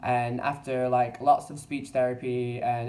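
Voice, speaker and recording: A man with a London accent speaks in a flat monotone over noticeable background noise. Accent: English (London area). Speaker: vlogger. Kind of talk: casual vlog monologue. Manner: halting, repeats words.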